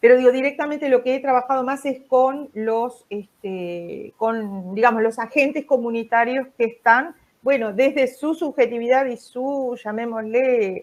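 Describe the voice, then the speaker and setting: Against a quiet background, a woman with a fairly high pitch talks at a fairly slow pace with ordinary pitch variation. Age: 60s. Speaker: psychologist. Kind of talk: interview. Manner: halting, many fillers.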